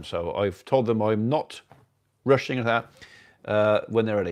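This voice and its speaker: A man with an English accent at a moderate pace, medium in pitch, against a quiet background. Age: 60s. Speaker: farmer and livestream host. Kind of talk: casual livestream chat reading viewer comments. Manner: halting, many fillers.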